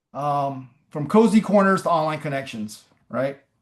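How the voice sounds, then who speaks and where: Fairly high-pitched male speech with lively intonation against a quiet background. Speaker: startup founder presenting AI tool. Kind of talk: webinar presentation with live demo. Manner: fast.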